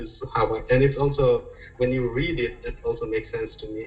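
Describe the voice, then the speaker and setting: Music plays in the background as a man with a non-native accent speaks at a moderate pace. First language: not English. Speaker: podcast guest. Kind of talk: casual chat.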